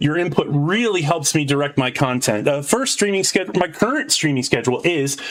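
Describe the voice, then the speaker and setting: Over noticeable background noise, a man speaks at a fairly quick pace. His pitch is fairly high, with ordinary variation. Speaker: video game streamer. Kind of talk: live gameplay stream. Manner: loud.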